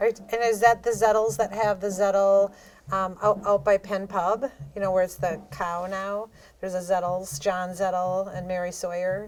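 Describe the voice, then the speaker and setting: A woman speaks at a moderate pace in a medium pitch with fairly even intonation, in a very clean recording with a silent background. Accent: Wisconsin. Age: 60s. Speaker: podcast host. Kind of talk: casual interview.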